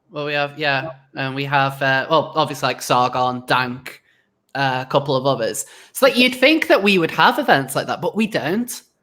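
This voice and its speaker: The voice moves at a moderate pace with a British accent. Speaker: YouTuber podcast host. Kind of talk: casual chat. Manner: sarcastic.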